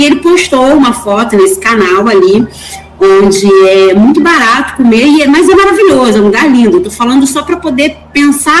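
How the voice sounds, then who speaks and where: A woman's high voice with very wide pitch swings, a moderate pace and noticeable background noise. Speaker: course participant, teacher. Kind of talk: class discussion. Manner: halting, repeats words.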